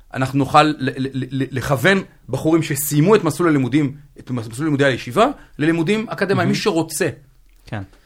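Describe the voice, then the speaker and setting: Somewhat breathy and fairly high-pitched, a man talks at a fairly quick pace with lively intonation and long, frequent pauses. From central Israel. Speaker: Haredi DevOps engineer. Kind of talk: casual interview. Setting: studio.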